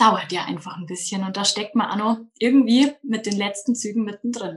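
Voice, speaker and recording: A woman's fairly high-pitched, somewhat breathy voice. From Bavaria, Munich outskirts. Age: 20s. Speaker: daycare centre manager. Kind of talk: interview.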